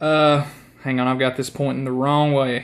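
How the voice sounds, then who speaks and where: A strong Southern US accent comes through on a very clean recording with a silent background. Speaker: guitar player. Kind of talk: casual talk to camera.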